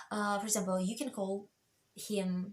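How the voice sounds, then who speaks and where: Medium pitch from a woman, with a Russian accent. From Russia, Moscow. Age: 40s. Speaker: vlogger. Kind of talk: casual chat. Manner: halting, many fillers.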